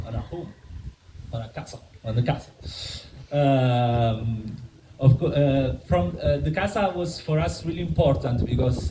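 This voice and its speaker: A man's somewhat breathy, dark and mellow voice at medium pitch with very wide pitch swings, in an Italian accent, with audible room echo. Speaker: member of a community building collective. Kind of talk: conference presentation. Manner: halting, many fillers and restarts.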